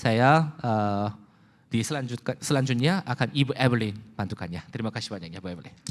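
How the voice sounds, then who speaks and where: A man talks at a very fast pace with lively intonation. His pitch is medium, and the recording is very clean with a silent background. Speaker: company executive presenter. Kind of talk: corporate presentation. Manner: halting.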